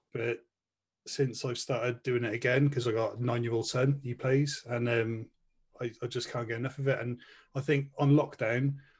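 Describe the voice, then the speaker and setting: A man with a Welsh accent speaks at a moderate pace in a medium pitch, somewhat breathy and with monotone, flat intonation, against a quiet background. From Wales. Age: 30s. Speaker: podcast co-host. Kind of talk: casual chat.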